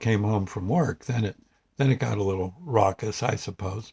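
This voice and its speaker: With an American accent, a man speaks at a medium pitch and moderate pace. His voice is somewhat breathy, with ordinary pitch variation. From US Northeast (New Jersey). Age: 70s. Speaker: vlogger. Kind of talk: casual vlog monologue. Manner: halting, many fillers.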